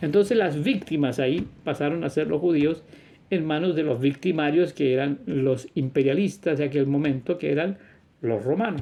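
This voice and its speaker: A man's normal speaking voice, fairly high in pitch, with ordinary pitch variation and very even loudness. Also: moderate pace. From Chile. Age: 60s. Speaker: religious teacher / video preacher. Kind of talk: religious monologue.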